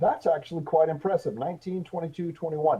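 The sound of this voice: Here a man talks at a fairly quick pace with ordinary pitch variation. His pitch sits fairly high, with a slightly husky edge.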